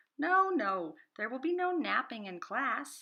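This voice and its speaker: A woman's put-on character voice, high and sing-song, with very wide pitch swings at a fairly slow pace. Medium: read story. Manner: bubbly, sing-song, enthusiastic.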